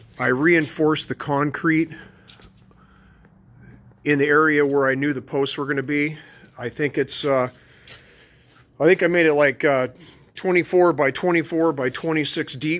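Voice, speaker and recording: Speaking at a moderate pace, a man keeps his intonation fairly even and leaves long, frequent pauses. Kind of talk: walkthrough tutorial. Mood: relaxed, casual. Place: garage. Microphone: phone near.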